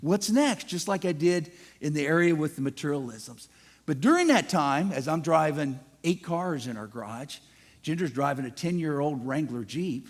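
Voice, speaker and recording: A man with an American accent speaks at a moderate pace in a fairly high pitch, his intonation lively, on a very clean recording with a silent background. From US Midwest, Ohio near Cincinnati. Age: 60s. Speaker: guest speaker. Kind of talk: testimony.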